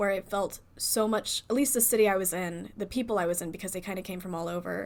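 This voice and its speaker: In a very clean recording with a silent background, a woman with an American accent talks at a very fast pace. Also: medium pitch for a woman, ordinary pitch variation. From US South. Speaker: podcast host. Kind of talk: casual chat.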